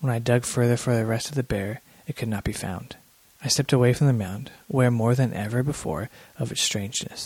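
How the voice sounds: Natural reading voice throughout.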